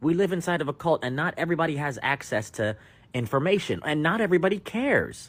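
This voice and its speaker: An animated man with an American accent speaks at a fairly quick pace in a high pitch, his intonation lively, on a very clean recording with a silent background. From United States. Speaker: podcast host. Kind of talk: opinion rant.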